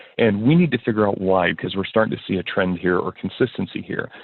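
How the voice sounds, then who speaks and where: This is a man speaking. His pitch is fairly low. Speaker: insurance consultant. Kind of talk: webinar presentation. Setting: online webinar. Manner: fast.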